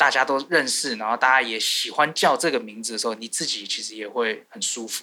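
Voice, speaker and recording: A man speaks in a plain, everyday voice at a medium pitch, fairly quickly and with hardly any pauses. His pitch varies in an ordinary way, while his loudness swings widely. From Taiwan, Taipei. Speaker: singer-songwriter and producer. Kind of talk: interview.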